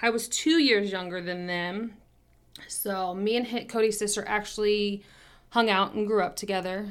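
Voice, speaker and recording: Her voice is an ordinary speaking voice at medium pitch. The woman talks at a fairly slow pace. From Kansas City, US Midwest. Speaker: podcast co-host, former bartender. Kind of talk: casual chat.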